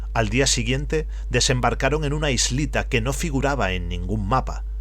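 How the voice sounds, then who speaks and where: A man's very deep, low voice in a monotone, flat delivery at a moderate pace, with music in the background. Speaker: audiobook narrator. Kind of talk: reading aloud of a horror story.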